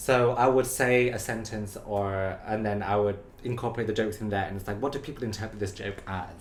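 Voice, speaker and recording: Noticeable background noise and audible room echo surround a man speaking at a fairly quick pace with hardly any pauses, his pitch fairly low. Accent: British. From UK. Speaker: TikTok creator. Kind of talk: casual chat. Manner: animated.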